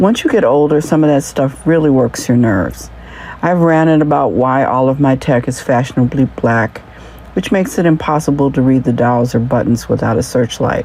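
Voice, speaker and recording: Her voice sits very deep and low for a woman, its pitch varying in an ordinary way. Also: moderate pace, very even loudness. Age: 60s. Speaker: podcast host and journalist. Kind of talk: scripted narration.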